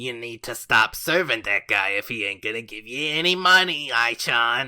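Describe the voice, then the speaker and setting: A man's strained, put-on character voice at a medium pitch, with lively intonation, big swings in loudness and a moderate pace. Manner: uncaring, money-obsessed.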